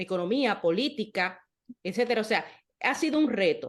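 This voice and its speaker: With a quiet background, a woman with a plain, everyday voice speaks at a moderate pace, her fairly high pitch showing ordinary variation. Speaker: podcast host, interviewer. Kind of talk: casual chat.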